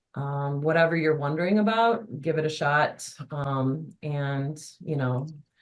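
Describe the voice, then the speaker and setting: A woman speaks at a very deep, low pitch with ordinary pitch variation. Her pace is fairly slow with hardly any pauses, and audible room echo surrounds her voice. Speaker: adult education instructor and webinar presenter. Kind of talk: webinar presentation.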